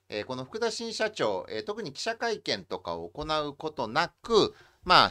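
Speaking at a moderate pace against a quiet background, the voice swings very widely in pitch. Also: man. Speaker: host interviewing a guest. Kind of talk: talk show commentary. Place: home room.

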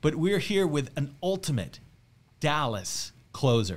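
The speaker is a man. His pitch swings very widely. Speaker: podcast host and real estate team leader. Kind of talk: casual interview. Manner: animated. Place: studio. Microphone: studio mic.

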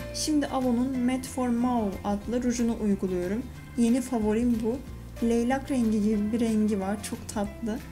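Against clear music in the background, a woman speaks with fairly even intonation. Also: moderate pace. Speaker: beauty vlogger. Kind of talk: casual tutorial vlog chat. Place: bathroom. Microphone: phone near.

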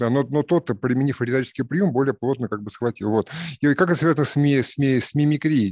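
Against a quiet background with a dry sound and no echo, a man talks at a very fast pace. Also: ordinary pitch variation. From Russia. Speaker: philosophy discussion participant. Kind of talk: group discussion. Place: home room. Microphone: video call.

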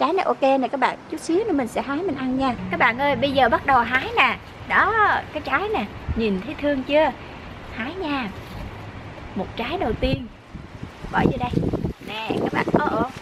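A woman with a high pitch and lively intonation, taking long, frequent pauses amid noticeable background noise. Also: fairly slow pace. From Vietnam. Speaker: vlogger. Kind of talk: casual vlog narration. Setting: outdoors. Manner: animated. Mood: cheerful, delighted. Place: garden. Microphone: phone near.

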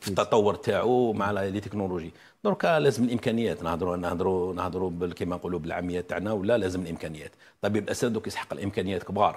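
Very fast speech with ordinary pitch variation over light background noise. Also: man, fairly low pitch for a man. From Algeria. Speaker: dental surgery professor; guest. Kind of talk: TV interview. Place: studio.

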